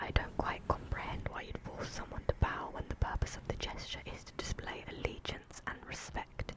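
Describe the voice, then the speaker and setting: Noticeable background noise surrounds a whisper that moves at a moderate pace. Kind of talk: audiobook-style fantasy reading. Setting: close microphone, studio.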